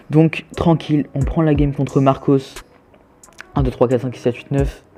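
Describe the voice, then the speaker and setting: Noticeable background noise sits under a man speaking at a moderate pace in a fairly high pitch with monotone, flat intonation. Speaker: gaming youtuber. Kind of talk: live gameplay commentary. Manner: casual, hesitant with fillers.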